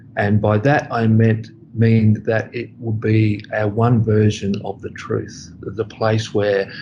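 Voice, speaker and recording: Speaking with an Australian accent, a man with a fairly low pitch talks at a fairly slow pace. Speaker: school applications manager. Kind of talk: interview.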